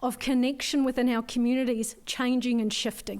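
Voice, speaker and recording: On a very clean recording with a silent background, a dark, mellow voice speaks in a flat monotone with a slight New Zealand accent. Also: woman. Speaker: forum speaker, community wellbeing worker. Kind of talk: conference talk.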